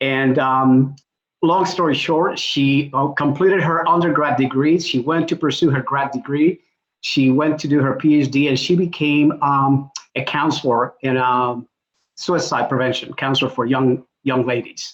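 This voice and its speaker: Fairly even in intonation, a man with a Spanish accent speaks at a fairly high pitch. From Puerto Rico. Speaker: executive coach. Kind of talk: panel introduction.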